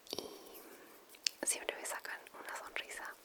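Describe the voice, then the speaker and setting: Whispering amid noticeable background noise. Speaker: ASMR creator. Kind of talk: ASMR whisper video. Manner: whispered.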